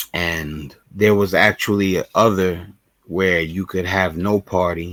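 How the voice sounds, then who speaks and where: Fairly slow and fairly even in intonation, a man speaks at a very deep, low pitch. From Brooklyn, New York, USA. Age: 40s. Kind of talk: casual talk to camera, vlog.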